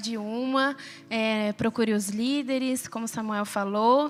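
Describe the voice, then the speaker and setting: This woman speaks high in her range, keeping her intonation fairly even. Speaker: preacher. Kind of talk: sermon.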